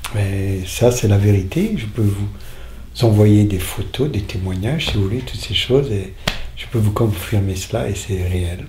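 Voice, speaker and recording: A man's fairly low voice at a fairly slow pace, with ordinary pitch variation, noticeable background noise and audible room echo. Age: 60s. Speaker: faith healer. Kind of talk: testimony. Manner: halting.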